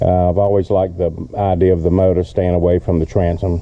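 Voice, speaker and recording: Fairly quick speech is heard with noticeable background noise behind it. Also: man. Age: 70s. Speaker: boat owner reviewing his own boat. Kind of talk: casual video walkthrough. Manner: casual with frequent fillers.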